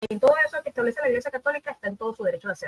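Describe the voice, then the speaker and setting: The sound is close and dry, without any echo. A woman speaks, her pitch varying in an ordinary way. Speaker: debate panelist. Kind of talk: religious debate. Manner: fast.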